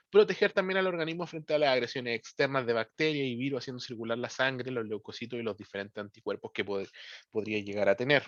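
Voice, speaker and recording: Speaking very fast, a man with a medium-pitched voice uses lively intonation. The recording is dry and close with no echo, and the background is quiet. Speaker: teacher. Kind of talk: lecture. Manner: frequent verbal tics like ¿ya? and ¿cierto?.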